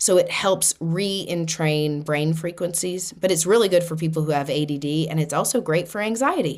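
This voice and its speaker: With a Boston accent, a woman speaks at a fairly low pitch with ordinary pitch variation. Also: moderate pace, hardly any pauses. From US Northeast, Boston. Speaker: spiritual podcast host. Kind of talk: podcast monologue on spirituality. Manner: casual, conversational.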